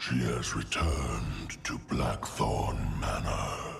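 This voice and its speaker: A put-on character voice, very deep and low in pitch, at a very slow pace over clear background noise. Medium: machinima. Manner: terse, solemn.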